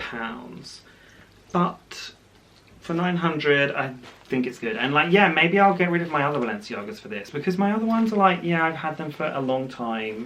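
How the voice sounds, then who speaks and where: Speaking with a British accent, a man at a fairly high pitch keeps a moderate pace as his pitch swings very widely, with audible room echo around him. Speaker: fashion vlogger. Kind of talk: unboxing video, casual chat to camera. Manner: chatty with many fillers.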